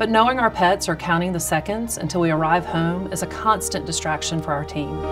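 A woman speaks at a moderate pace with a fairly low pitch. Music plays in the background. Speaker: chamber of commerce president and CEO. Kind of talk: parody charity appeal commercial read. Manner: earnest, pleading.

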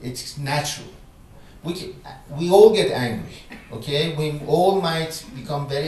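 Audible room echo and light background noise around a man talking at a moderate pace. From Iran. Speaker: philosopher and professor. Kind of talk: public conversation with audience Q&A. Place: hall.

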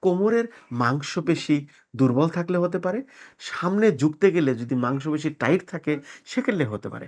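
An unremarkable speaking voice moves with lively intonation against a quiet background. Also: man, fairly high pitch for a man. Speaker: manipulation therapist. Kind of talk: health explainer to camera.

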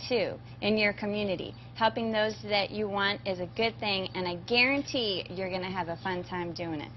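Over light background noise, a woman with an American accent speaks at a moderate pace. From US Southwest. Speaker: egg farmer. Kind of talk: live educational Q&A. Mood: warm, encouraging.

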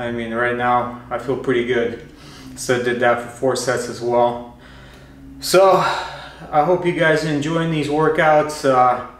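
A man talks at a fairly slow pace with long, frequent pauses and ordinary pitch variation, and audible room echo surrounds the voice. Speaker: fitness vlogger. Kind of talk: casual vlog chat. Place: garage. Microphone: camera far.

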